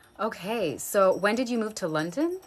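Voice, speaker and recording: A woman's lively intonation, with an American accent, over music in the background. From USA, California and New York. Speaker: face yoga instructor. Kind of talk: livestream Q&A. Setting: live video stream. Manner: casual, lots of fillers.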